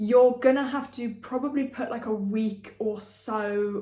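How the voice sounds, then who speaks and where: A woman speaks at a moderate pace in a monotone, flat intonation, with audible room echo and noticeable background noise. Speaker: online marketing educator. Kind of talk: casual tutorial to camera. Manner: unscripted, with many fillers.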